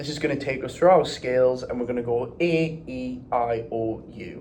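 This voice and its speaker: A man with a fairly high pitch at a fairly slow pace, amid audible room echo and noticeable background noise. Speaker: vocal warm-up instructor. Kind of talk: tutorial.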